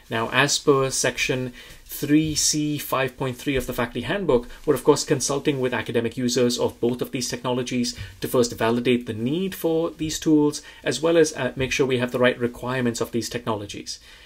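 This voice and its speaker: The pace is moderate, with hardly any pauses and fairly even intonation. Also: man. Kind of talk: institutional video update. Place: office.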